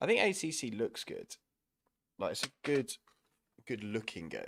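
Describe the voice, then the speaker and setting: A man speaks with a southern English accent in a dry, close sound with no echo. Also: moderate pace. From southern England, East Sussex. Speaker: sim racing streamer. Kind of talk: live stream chat while gaming. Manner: casual, rambling.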